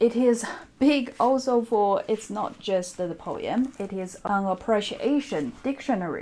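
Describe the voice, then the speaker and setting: A woman speaks very slowly with a Chinese accent. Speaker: book vlogger. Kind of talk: casual chat.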